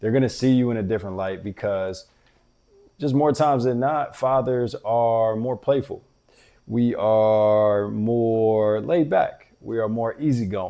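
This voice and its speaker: A man talks fairly slowly in an ordinary speaking voice, with ordinary pitch variation. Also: medium pitch for a man. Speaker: fatherhood podcast host. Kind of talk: motivational talk.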